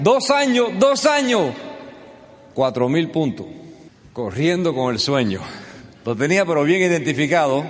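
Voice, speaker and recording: Fairly slow male speech against noticeable background noise. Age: 50s. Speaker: business speaker. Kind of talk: motivational speech. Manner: animated.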